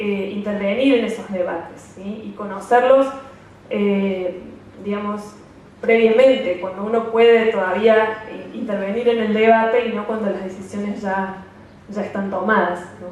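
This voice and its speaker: A woman speaks at a fairly slow pace and medium pitch, her intonation fairly even but her loudness swinging widely. Noticeable background noise and audible room echo surround her voice. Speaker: NGO representative. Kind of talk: conference talk. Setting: seminar stage with audience. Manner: hesitant with fillers.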